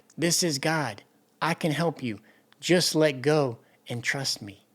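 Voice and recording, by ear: A put-on character voice, pitched low-to-middle, moves at a fairly slow pace.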